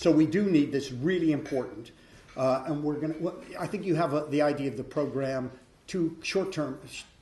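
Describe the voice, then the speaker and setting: This man's voice is fairly high-pitched yet dark and mellow in tone, somewhat breathy. He talks at a fairly quick pace with ordinary pitch variation. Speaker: professor, event chair. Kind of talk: event introduction speech. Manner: hesitant, many fillers.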